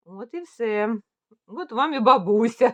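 A woman with a fairly high pitch talks at a fairly slow pace in a dry, close recording with no echo. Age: 50s. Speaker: knitting vlogger. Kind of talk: casual monologue. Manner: casual.

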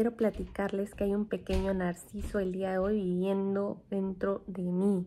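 With a Mexican accent, a woman speaks fairly slowly at a medium pitch in a dark, mellow tone with flat, monotone intonation, over light background noise. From Mexico. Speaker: vlogger, former nurse; vlogger. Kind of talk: casual vlog talk to camera. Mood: playful, cheerful. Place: home room. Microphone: phone near.

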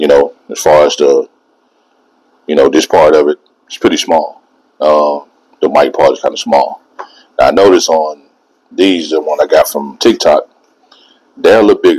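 Over a quiet background, a man talks at a moderate pace with long, frequent pauses. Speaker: product reviewer. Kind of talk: casual vlog chat. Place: empty room. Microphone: lapel.

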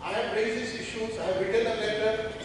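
A man with a high pitch for a man is heard over noticeable background noise, his voice carrying strong room echo. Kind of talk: parliamentary speech. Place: hall.

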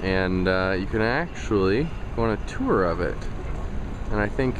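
A man speaks at a moderate pace, his voice dry with no echo against noticeable background noise. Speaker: travel vlogger. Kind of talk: casual vlog commentary. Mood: wry, sarcastic. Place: street. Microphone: phone near.

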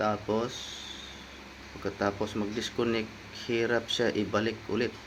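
With a fairly low pitch, a man talks rather slowly in a monotone, flat intonation. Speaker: motorcycle vlogger. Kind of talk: product review. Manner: casual.

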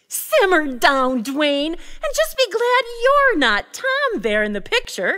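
A woman's cartoonish character voice, extremely high-pitched with very wide pitch swings, at a fairly slow pace with hardly any pauses. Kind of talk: character dialogue.

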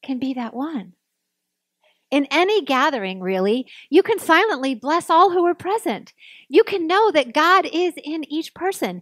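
The background is quiet and the sound dry with no echo. A woman speaks in a high pitch at a fairly slow pace. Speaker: minister. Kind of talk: sermon. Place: church. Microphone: podium.

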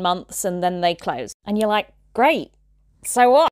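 In a dry recording with no echo and a quiet background, a woman speaks at a moderate pace with ordinary pitch variation. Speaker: tour guide, book reviewer. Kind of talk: casual vlog chat. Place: home room. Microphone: lapel.

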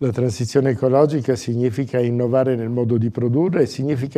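Over a quiet background, a man speaks with a dark, mellow tone. His intonation is fairly even. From Abruzzo, Italy. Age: 60s. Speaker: candidate for regional president. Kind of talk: political interview answers. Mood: calm, measured, formal. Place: studio.

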